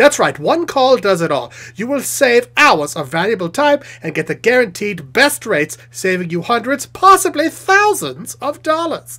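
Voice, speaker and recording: This put-on character voice sits at a fairly high pitch, with very wide pitch swings, a moderate pace and hardly any pauses. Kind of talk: TV commercial read. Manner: upbeat, salesy.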